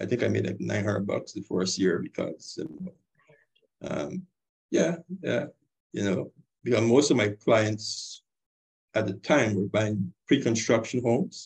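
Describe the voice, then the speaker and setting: A man's fairly low voice with vocal fry and lively intonation, at a fairly slow pace with long, frequent pauses. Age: 50s. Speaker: mortgage broker and real estate investor. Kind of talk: casual interview chat.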